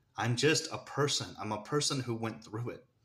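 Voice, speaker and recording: A man with an American accent speaks in a bright, sharp tone at a medium pitch, with ordinary pitch variation. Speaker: vlogger sharing personal story. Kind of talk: personal testimony. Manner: halting, holding back tears.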